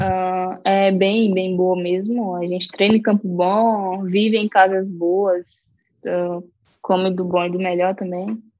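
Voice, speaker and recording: At a very slow pace, a woman speaks in a monotone, flat intonation at a medium pitch. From Brazil, Maranhão (Caxias). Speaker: professional footballer. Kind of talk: interview.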